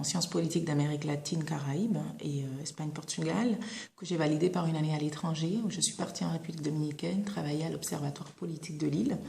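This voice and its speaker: With audible room echo, a woman speaks fairly quickly in a very deep, low voice with fairly even intonation. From Saint Martin, Caribbean. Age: 20s. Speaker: former student giving career testimony. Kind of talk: testimony. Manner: hesitant, many filler sounds.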